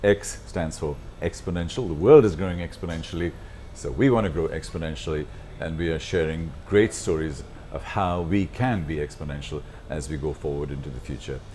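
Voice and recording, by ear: A man speaks at a fairly quick pace with few pauses. His pitch is extremely low, with ordinary pitch variation.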